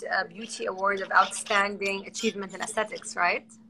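Over noticeable background noise, a woman with an Arabic accent speaks at a fairly quick pace. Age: 30s. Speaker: social media host. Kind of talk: casual interview on a livestream.

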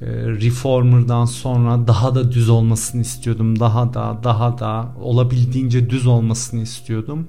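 A man at a medium pitch and moderate pace, flat and monotone, with music in the background and audible room echo. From Cyprus. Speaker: podcast host, actor. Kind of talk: personal confessional monologue.

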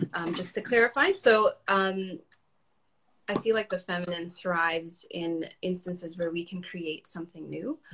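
This is an ordinary speaking voice with ordinary pitch variation. It moves at a moderate pace. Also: woman, fairly low pitch for a woman. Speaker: guest. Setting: Instagram live video.

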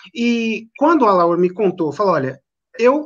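A man with high pitch speaks at a moderate pace, his pitch swinging very widely. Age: 40s. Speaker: drumstick sponsor. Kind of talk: conversation on a live stream.

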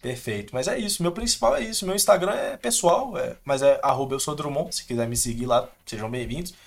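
A man's fairly high voice at a fairly quick pace, with very wide pitch swings and hardly any pauses. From Minas Gerais, Brazil (interior). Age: 20s. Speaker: video editor. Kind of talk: casual interview chat.

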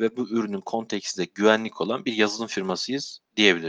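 An ordinary speaking voice with ordinary pitch variation, dry and close with no echo, over a quiet background. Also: man. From Turkey, Sivas. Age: 30s. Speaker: QA manager at a security software company. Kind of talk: interview.

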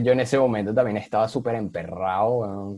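In a Venezuelan accent, the voice has a dark, mellow tone and a fairly quick pace, with a dry, close sound and no echo. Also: man. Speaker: podcast guest. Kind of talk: casual chat.

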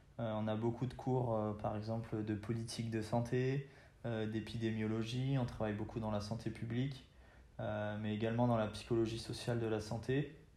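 A man's medium-pitched voice with a dark, mellow tone, flat monotone delivery, moderate pace and audible room echo. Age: 20s. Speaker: university student. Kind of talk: interview. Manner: hesitant, with fillers and repetitions.

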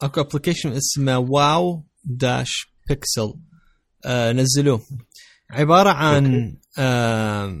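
Speaking very slowly over a quiet background, a man with a fairly high voice uses ordinary pitch variation. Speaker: podcast host. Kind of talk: casual chat.

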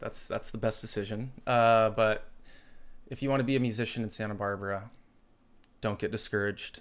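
At a fairly quick pace, yet with long, frequent pauses, a man with a medium pitch and fairly even intonation speaks on a very clean recording with a silent background. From Florida and Hawaii. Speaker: drummer. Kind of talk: casual chat.

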